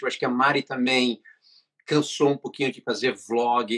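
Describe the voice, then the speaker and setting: Recorded dry and close with no echo, a man speaks at a moderate pace in a bright, sharp tone. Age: 50s. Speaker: web series director. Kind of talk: interview.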